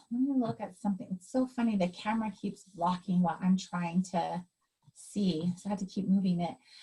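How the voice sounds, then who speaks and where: Somewhat breathy, this woman's voice sits at a medium pitch with ordinary pitch variation. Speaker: astrologer. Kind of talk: personal astrology reading.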